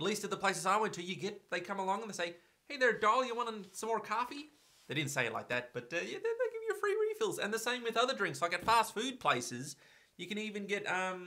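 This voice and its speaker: In a raised, projected voice, a high-pitched man with an Australian accent talks at a very fast pace with lively intonation. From Australia, Victoria. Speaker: vlogger. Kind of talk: casual vlog talk.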